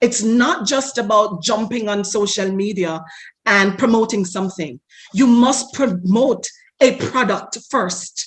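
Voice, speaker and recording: The speaker has a Jamaican accent and a passionate tone, talking at a fairly slow pace. The voice is somewhat breathy, with ordinary pitch variation. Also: woman, fairly high pitch for a woman. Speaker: marketing expert. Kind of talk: interview.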